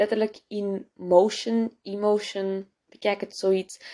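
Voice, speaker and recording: A woman's dark, mellow, medium-pitched voice in a Flemish accent. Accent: Flemish Dutch. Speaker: podcast host. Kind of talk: casual personal monologue. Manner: code-switching with English, many fillers.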